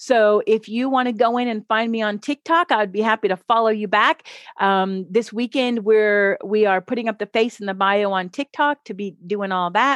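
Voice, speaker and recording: An unremarkable speaking voice from a woman, fairly high in pitch, at a moderate pace with ordinary pitch variation, dry and close with no echo over a quiet background. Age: 50s. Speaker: marriage mentor. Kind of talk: casual chat.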